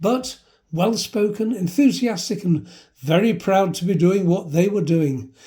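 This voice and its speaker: A man with a high, dark, mellow voice talks at a moderate pace with ordinary pitch variation. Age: 70s. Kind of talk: personal travel narration.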